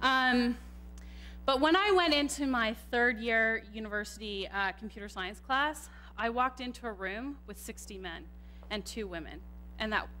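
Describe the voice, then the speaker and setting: Here a woman speaks with a Canadian accent at a moderate pace. Room echo is audible. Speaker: computer scientist and tech manager. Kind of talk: conference talk. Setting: stage with audience, microphone. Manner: loud.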